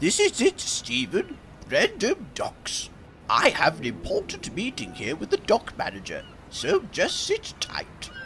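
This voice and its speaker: Over clear background noise, a man puts on a character voice and talks at a fairly slow pace. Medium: machinima. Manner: polite, measured.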